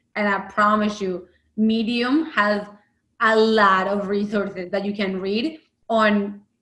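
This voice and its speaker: A woman speaks with fairly even intonation. Music plays in the background. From Bogota, Colombia. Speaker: accessibility UX design lead. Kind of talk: interview answer.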